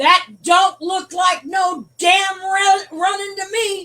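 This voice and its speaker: A woman's loud, put-on character voice, extremely high-pitched and monotone with flat intonation, at a very slow pace. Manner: gruff, scolding.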